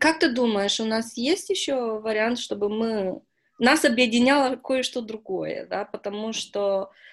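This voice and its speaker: A woman speaks at a fairly slow pace in an unremarkable speaking voice, her pitch fairly high with ordinary variation. The background is quiet. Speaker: newspaper interviewer. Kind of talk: interview.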